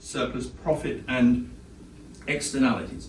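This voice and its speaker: A man with a British accent speaks with lively intonation. Audible room echo and noticeable background noise fill the recording. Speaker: economics professor. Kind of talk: lecture. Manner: fast.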